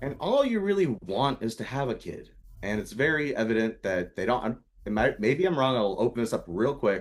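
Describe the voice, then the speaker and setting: Speaking with lively intonation, a man keeps a moderate pace. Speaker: podcast co-host. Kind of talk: casual chat. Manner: projects loudly.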